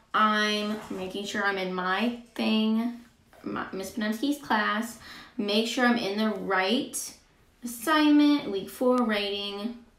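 A woman speaks at a very slow pace with long, frequent pauses and ordinary pitch variation, her voice carrying audible room echo. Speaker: teacher. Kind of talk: tutorial. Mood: light, friendly. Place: home room.

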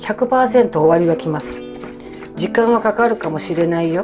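A woman speaks with a Kansai accent while clear music plays in the background. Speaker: comedian. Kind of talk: casual cooking talk to camera. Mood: warm, encouraging, humorous. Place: kitchen. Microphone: phone near.

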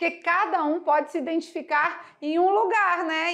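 A woman talks in an animated tone at an extremely high pitch. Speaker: math teacher. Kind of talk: lecture.

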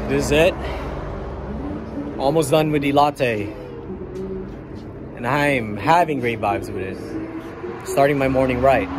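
Fairly slow delivery from a man, long and frequent pauses, ordinary pitch variation, and noticeable background noise. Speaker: vlogger reviewing a cafe. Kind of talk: casual vlog chat. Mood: relaxed, upbeat. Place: street. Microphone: phone near.

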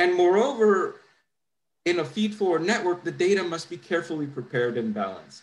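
With lively intonation, a man talks fairly quickly at a high pitch. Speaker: scientist presenting research. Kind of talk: conference talk. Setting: video call. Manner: halting, many fillers. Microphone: webcam.

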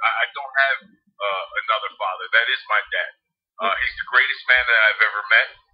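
A man with a New Jersey accent talks at a fairly quick pace. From New Jersey (Harrison, Hudson County). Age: 40s. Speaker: former pro football quarterback and sports analyst. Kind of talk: casual interview.

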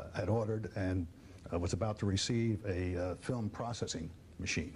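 Over light background noise, a man with a somewhat breathy voice speaks at a moderate pace with fairly even intonation. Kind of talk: interview answer. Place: studio. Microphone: lapel.

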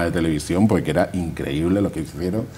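There is light background noise as a man talks in a very deep, low voice with ordinary pitch variation. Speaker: neighborhood association president. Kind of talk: TV interview. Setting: studio. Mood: upbeat, enthusiastic. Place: studio.

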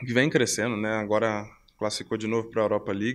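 A man speaks in a monotone, flat intonation. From Brazil, São Paulo (moved from Belo Horizonte at 12). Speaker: professional footballer; interviewee. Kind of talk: interview; interview answer. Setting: hotel. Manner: halting, repeats words. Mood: relaxed, friendly. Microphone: handheld.

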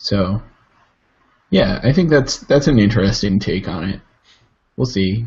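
Somewhat breathy, a man speaks slowly at a medium pitch with lively intonation and long, frequent pauses. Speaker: tech podcast co-host. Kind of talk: casual chat. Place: home room. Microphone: webcam.

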